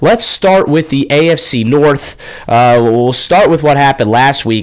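With an ordinary speaking voice and ordinary pitch variation, a man delivers his words at a fairly slow pace. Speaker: radio sports host. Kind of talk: live radio sports talk. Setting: radio studio.

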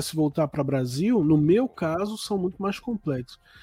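Over music in the background, a man speaks at a moderate pace with very wide pitch swings, the sound dry and close with no echo. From Brazil. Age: 40s. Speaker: writer and podcast host. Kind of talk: casual chat.

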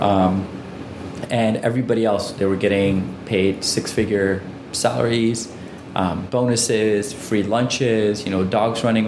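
Amid noticeable background noise and audible room echo, a man with a fairly low pitch speaks at a fairly slow pace, with very even loudness and fairly even intonation. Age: 30s. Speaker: entrepreneur, company CEO. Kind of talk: interview. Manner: frequent filler words.

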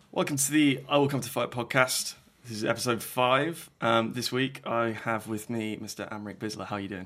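This man has an ordinary speaking voice, medium in pitch with ordinary pitch variation. He speaks at a fairly quick pace. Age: 20s. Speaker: podcast host. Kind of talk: casual interview.

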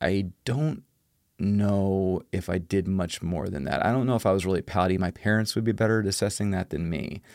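A man's fairly low, plain, everyday voice at a fairly quick pace, on a very clean recording with a silent background. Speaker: podcast host. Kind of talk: casual podcast chat.

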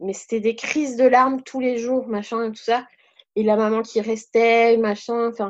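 Over a quiet background, a woman with a fairly high pitch talks at a fairly slow pace with ordinary pitch variation. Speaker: youth camp leader and trainer. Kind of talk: casual chat.

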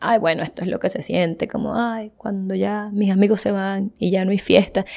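This woman has a medium-pitched voice and talks fairly quickly. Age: 20s. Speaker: podcast host. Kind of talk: solo monologue. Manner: animated.

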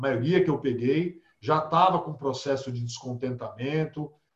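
This is an ordinary speaking voice, with fairly even intonation at a moderate pace. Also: man. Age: 50s. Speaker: holistic therapist. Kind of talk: casual interview.

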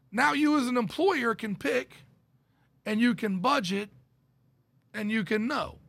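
A man with a high voice speaks at a fairly slow pace, his lively intonation broken by long, frequent pauses. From Dallas, Texas area. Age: 50s. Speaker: insurance benefits consultant. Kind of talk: casual interview.

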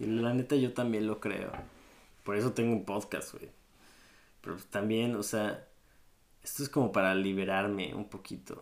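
A man talks with a Mexico City accent. His pace is fairly slow. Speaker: podcast host. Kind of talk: casual monologue. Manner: casual, halting with fillers.

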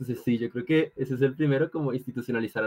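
A man talks with ordinary pitch variation. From Colombia. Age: 18. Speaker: law student and debater. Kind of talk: casual interview.

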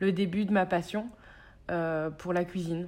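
Using an ordinary speaking voice, a woman talks at a fairly slow pace with ordinary pitch variation. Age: 30s. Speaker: chef and cookbook author. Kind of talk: casual chat.

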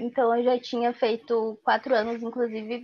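This woman's high-pitched voice unfolds at a fairly slow pace. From Porto Alegre, southern Brazil. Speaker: university student. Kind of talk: interview.

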